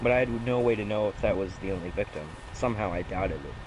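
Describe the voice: Nothing but plain reading aloud.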